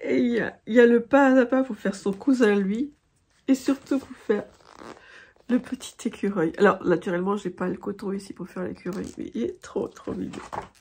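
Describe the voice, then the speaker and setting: Somewhat breathy and fairly high, a woman's voice moves at a moderate pace with lively intonation against a quiet background. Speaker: craft vlogger. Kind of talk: casual chat. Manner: halting.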